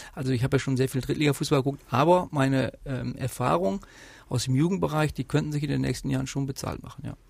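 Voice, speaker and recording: Very fast male speech at a medium pitch, somewhat breathy, with ordinary pitch variation. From Westphalia, Germany (Rheine). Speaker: football sporting director. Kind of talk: interview. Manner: hesitant, many fillers.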